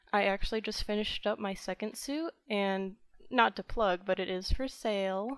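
In an unremarkable speaking voice with an American accent, a woman talks at a moderate pace and medium pitch on a very clean recording with a silent background. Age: 20s. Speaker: furry artist. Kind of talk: casual chat.

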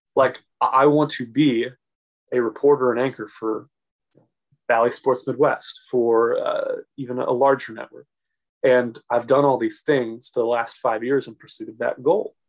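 A man with an American accent and a normal speaking voice talks at a fairly slow pace in a medium pitch. His intonation is fairly even, though his loudness swings widely. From St. Louis, Missouri. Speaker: local TV sports reporter and podcast host. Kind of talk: casual interview.

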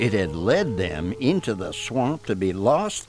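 With music in the background, a man's pitch swings very widely. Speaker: story narrator. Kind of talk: ghost story telling, dramatic spooky narration. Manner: hushed, slow, building dread, eerie.

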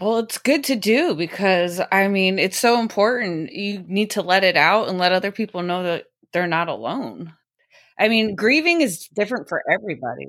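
A woman with a normal speaking voice, medium pitch, lively intonation and a moderate pace. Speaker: podcast host. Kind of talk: casual chat.

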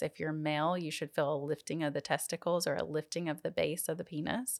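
Speaking fairly quickly with a Southern US accent, a woman with a fairly low pitch keeps her intonation fairly even on a very clean recording with a silent background, dry and close with no echo. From US South. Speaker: pelvic floor physical therapist. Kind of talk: interview.

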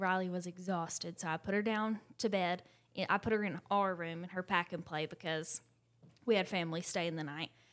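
An ordinary speaking voice from a woman with an American accent, medium pitch, fairly even intonation and a fairly quick pace, on a very clean recording with a silent background. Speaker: mom, podcast co-host. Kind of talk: casual chat.

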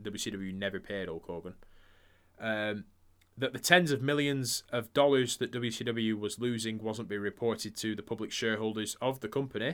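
Here is a man with an ordinary speaking voice at a medium pitch, showing ordinary pitch variation. He speaks at a moderate pace on a very clean recording with a silent background. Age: 30s. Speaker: wrestling podcast co-host. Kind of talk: casual chat.

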